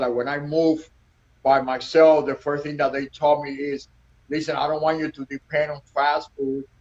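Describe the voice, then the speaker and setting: A man's fairly high voice with a Cuban accent. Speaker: restaurant owner. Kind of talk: casual interview. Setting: Instagram live video.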